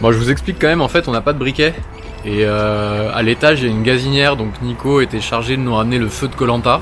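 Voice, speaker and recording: A man talks at a fairly quick pace in a medium pitch. Noticeable background noise runs underneath. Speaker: vlogger, business owner. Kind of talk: casual vlog chat.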